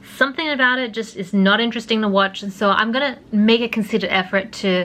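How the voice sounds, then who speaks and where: At a fairly quick pace, a woman speaks in a medium pitch with ordinary pitch variation. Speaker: vlogger. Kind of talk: casual vlog monologue. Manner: hesitant, many fillers.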